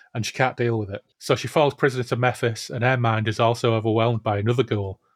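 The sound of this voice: Quiet background behind an unforced reading voice, intonation fairly even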